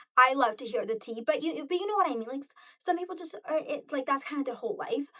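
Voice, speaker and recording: A woman projects a raised, high, bright and sharp voice in an animated tone, racing along very fast with very wide pitch swings. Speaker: lifestyle vlogger. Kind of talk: casual monologue to camera.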